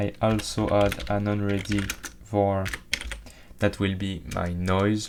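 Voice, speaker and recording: A man's fairly low-pitched, monotone voice, flat in intonation, at a very slow pace with long, frequent pauses and noticeable background noise. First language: not English. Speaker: game development tutorial creator. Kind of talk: tutorial. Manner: hesitant, with fillers.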